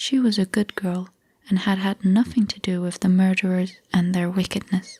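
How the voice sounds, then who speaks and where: The speaker is soft-spoken. The pace is moderate. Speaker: ASMR creator. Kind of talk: bedtime fairy tale reading.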